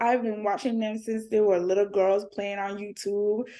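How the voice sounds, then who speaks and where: Against a quiet background, a woman with a British Virgin Islands accent speaks at a fairly high pitch. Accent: Caribbean (BVI) accent, kept. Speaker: entertainment reporter and content creator. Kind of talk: interview.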